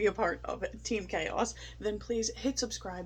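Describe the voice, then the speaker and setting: At a moderate pace, a woman speaks in a shaky voice. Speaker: food review vlogger. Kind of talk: casual vlog review. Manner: animated.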